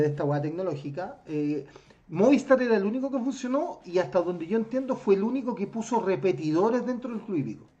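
A man talks at a fairly quick pace in a Chilean accent, his pitch making very wide swings. Noticeable background noise sits under his voice. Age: 40s. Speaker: podcast host. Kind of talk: casual chat.

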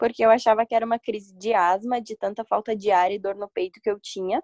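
Here is a woman with an unremarkable speaking voice and a fairly high pitch. She talks at a moderate pace with ordinary pitch variation, in a dry, close sound with no echo. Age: 20s. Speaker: university student. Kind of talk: casual chat.

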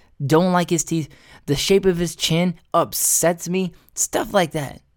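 A man's animated tone at a high pitch, captured in a very clean recording with a silent background. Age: 30s. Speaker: solo podcast host. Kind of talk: casual monologue. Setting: home recording setup.

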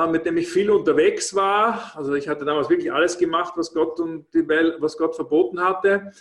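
With ordinary pitch variation, this man's speech keeps a moderate tempo. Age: 50s. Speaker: former restaurateur and network marketing speaker. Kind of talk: casual interview. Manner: hesitant, with frequent fillers and repetitions.

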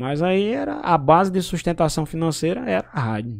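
With very wide pitch swings, a man speaks at a moderate pace on a very clean recording with a silent background. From Brazil, Paraíba (Pombal, Northeast). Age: 30s. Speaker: radio journalist and broadcaster. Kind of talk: casual interview chat.

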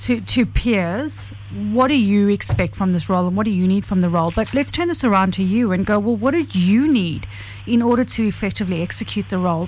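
Against noticeable background noise, a woman talks at a fairly quick pace with very even loudness. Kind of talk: live radio co-host patter, wrapping up before an ad break. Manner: quick, chatty and breezy, with easy on-air banter.

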